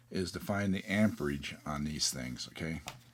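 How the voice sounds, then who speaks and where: This man talks at a moderate pace with vocal fry and ordinary pitch variation. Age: 60s. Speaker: DIY product reviewer. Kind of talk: tutorial. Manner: casual, filler-heavy with frequent okay.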